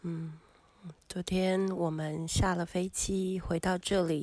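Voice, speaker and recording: The speech comes at a very slow pace with monotone, flat intonation. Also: woman. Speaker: travel podcaster. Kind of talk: personal travel narration. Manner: halting with many fillers.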